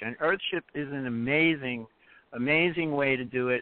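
A man talks at a moderate pace with a fairly high pitch and ordinary pitch variation. It is an ordinary speaking voice. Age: 60s. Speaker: earthship advocate. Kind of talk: call-in interview. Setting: phone call.

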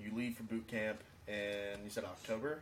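A man speaks against noticeable background noise. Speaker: podcast host, Navy veteran. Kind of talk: casual chat podcast.

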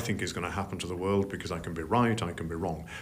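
In a room with audible echo, a man with a Yorkshire accent talks in a very deep, low voice. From Yorkshire, northern England. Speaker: investment strategist. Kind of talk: interview. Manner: halting.

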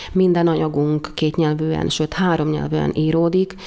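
Background noise is noticeable in this clip. A woman talks at a very deep, low pitch. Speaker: university dean. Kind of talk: interview.

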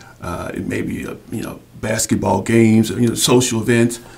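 A man speaks against noticeable background noise. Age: 60s. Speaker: sports hall of fame co-founder. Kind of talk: interview. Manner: halting.

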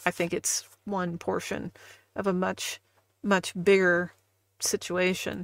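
Very slowly and with long, frequent pauses, a woman of medium pitch speaks in a Midwestern US accent, her intonation flat and monotone, on a very clean recording with a silent background. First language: not English. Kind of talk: casual chat. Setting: live stream.

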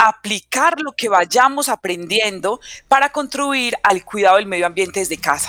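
Speaking at a fairly slow pace, a woman uses a fairly high pitch, a bright, sharp tone and lively intonation, recorded dry and close with no echo. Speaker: teacher. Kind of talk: radio lesson.

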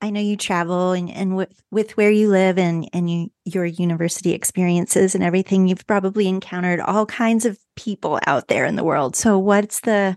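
A woman with a plain, everyday voice speaks at medium pitch and a moderate pace with fairly even intonation. The sound is dry and close with no echo, over a quiet background. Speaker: podcast co-host and dietitian. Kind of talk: interview.

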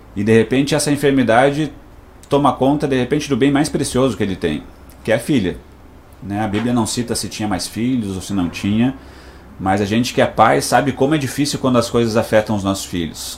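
The room's echo can be heard clearly. Within it, a man talks fairly quickly. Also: medium pitch for a man, ordinary pitch variation. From Rio Grande do Sul, Brazil (Passo Fundo). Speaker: pastor and psychoanalyst. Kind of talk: radio interview with sermon-style message. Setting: radio studio.

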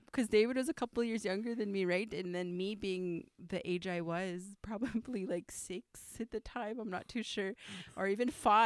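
Delivered at a moderate pace, this animated voice has ordinary pitch variation and a dry, close sound with no echo. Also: woman, medium pitch for a woman. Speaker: podcast co-host. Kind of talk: casual chat. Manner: animated, joking.

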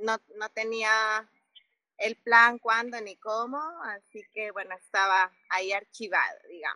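A woman's fairly high, bright, sharp voice at a very slow pace, monotone and flat, with big swings in loudness and a dry, close sound with no echo. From Mexico City. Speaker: cycling traveler. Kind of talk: interview.

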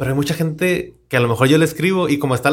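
A somewhat breathy man at a fairly high pitch and very fast pace, with ordinary pitch variation. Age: 30s. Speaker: podcast host. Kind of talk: casual interview chat.

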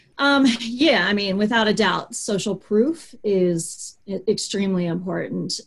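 With an American accent, a woman uses an ordinary speaking voice, fairly high in pitch, with ordinary pitch variation. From US, Baltimore, Maryland. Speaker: digital marketing consultant, business owner. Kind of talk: interview.

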